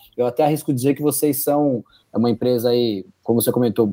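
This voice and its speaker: At a very fast pace, a man speaks with a medium pitch and a dark, mellow tone, recorded very cleanly over a silent background. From São José dos Campos, São Paulo state, Brazil. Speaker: podcast host, company partner. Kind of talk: business interview.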